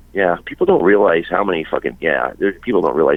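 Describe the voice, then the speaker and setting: A man talks at a very fast pace, and noticeable background noise runs under his voice. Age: 60s. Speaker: punk rock singer. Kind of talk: casual interview. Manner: halting, many repeated words.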